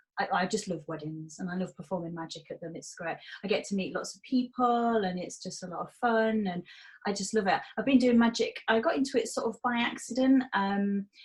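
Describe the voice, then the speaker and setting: Fairly quick, somewhat breathy speech in a Hull accent, with lively intonation and big swings in loudness. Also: woman, medium pitch for a woman. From northern England, Hull. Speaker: magician. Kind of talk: interview.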